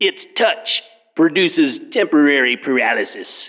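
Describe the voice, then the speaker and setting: A man puts on a character voice at a moderate pace. His pitch is high. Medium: read story. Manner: cold, superior.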